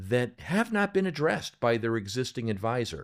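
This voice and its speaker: On a very clean recording with a silent background, a man talks at a moderate pace with a medium pitch and very wide pitch swings. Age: 60s. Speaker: sales coach for financial advisors. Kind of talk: podcast conversation. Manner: explanatory.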